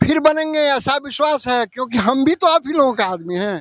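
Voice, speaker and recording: A man speaks with lively intonation. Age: 70s. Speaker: retired teacher on hunger strike. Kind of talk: interview at a protest. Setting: outdoors at a protest site. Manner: impassioned pleading.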